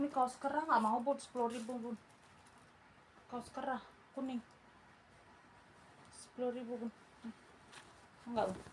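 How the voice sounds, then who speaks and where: Her high-pitched voice stays monotone and flat as the woman moves at a moderate pace with long, frequent pauses. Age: old. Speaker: online clothing seller. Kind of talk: live sales pitch. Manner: casual, chatty.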